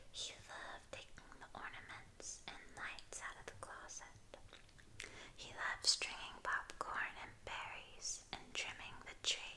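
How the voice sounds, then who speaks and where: Whispering at a fairly slow pace in a gentle tone, a woman is heard over noticeable background noise. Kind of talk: ASMR picture book reading. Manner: soft-spoken, gentle.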